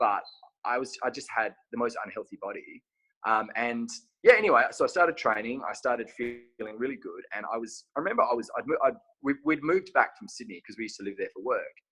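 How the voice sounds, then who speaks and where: Talking at a very fast pace, a man with an Australian accent shows big swings in loudness. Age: 30s. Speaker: clothing brand owner and physique competitor. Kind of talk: casual interview chat.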